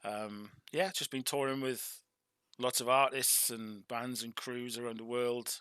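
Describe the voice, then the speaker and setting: A man with a South Wales Valleys accent, medium in pitch with a bright, sharp tone, at a fairly slow pace on a very clean recording with a silent background. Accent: Welsh (South Wales valleys). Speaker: meditation teacher. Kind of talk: interview.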